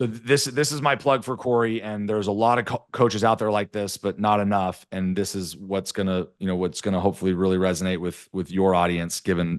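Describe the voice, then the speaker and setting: Fairly low-pitched male voice at a fairly quick pace, with hardly any pauses, ordinary pitch variation and a quiet background. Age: 40s. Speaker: tech entrepreneur and podcast host. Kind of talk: casual chat. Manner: animated.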